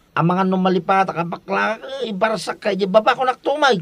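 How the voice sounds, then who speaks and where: A man uses a put-on character voice, high in pitch, at a moderate pace. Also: ordinary pitch variation. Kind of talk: comic overacting. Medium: audio drama. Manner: mixes Ilocano with English phrases.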